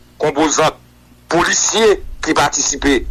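A man's voice over noticeable background noise. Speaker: political commentator. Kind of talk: interview.

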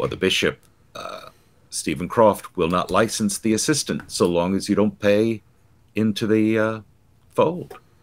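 At a fairly slow pace, a man is talking. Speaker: church commentator guest. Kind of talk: interview answer. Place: home room.

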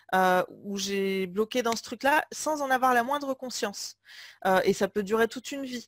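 In a plain, everyday voice, a woman speaks at fairly high pitch and a fairly slow pace with ordinary pitch variation, in a very clean recording with a silent background and a dry, close sound with no echo. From France, Limoges. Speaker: business coach. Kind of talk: interview.

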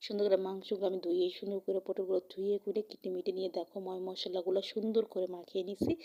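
Dry and close with no echo, a woman's medium-pitched voice has a dark, mellow tone and monotone, flat intonation. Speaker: cooking vlogger. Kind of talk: cooking tutorial. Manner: not loud, not fast.

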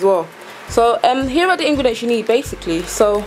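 Music plays in the background as a woman speaks. Her intonation is lively and her pace fairly quick. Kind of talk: tutorial.

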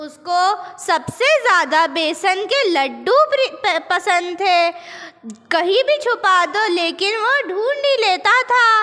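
A woman speaks in a raised, projected voice at a very slow pace, her pitch swinging very widely. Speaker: teacher acting a mother in skit. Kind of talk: stage skit dialogue. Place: stage.

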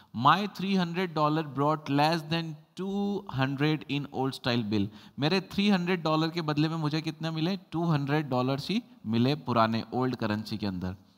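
A man's fairly high voice with lively intonation at a fairly slow pace, an ordinary speaking voice over a quiet background. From India. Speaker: English teacher. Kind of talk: lecture. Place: classroom. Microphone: lapel.

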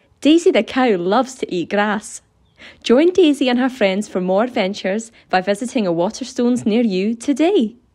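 An ordinary speaking voice with lively intonation comes at a moderate pace over a quiet background. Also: woman, fairly high pitch for a woman. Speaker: voice actor. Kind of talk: voice reel of commercial narration. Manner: polished, bright and upbeat, brisk ad-read delivery.

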